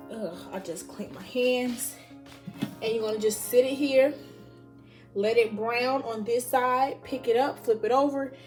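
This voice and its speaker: Music in the background behind a woman's moderately paced speech with ordinary pitch variation. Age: young. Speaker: college student. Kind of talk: casual cooking vlog talk to camera.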